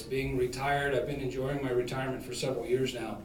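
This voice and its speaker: A man is speaking in a space with audible room echo. Noticeable background noise runs underneath. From Ohio (Toledo area), born in Kentucky. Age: 60s. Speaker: political candidate, retired police chief and Marine veteran. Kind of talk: debate opening statement. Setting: public debate with audience. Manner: hesitant, many filler uhs.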